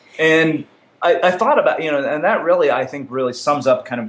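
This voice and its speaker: His intonation rises and falls in a lively way. The man talks fairly quickly. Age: 30s. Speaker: entrepreneur and podcast host. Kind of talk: interview. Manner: halting.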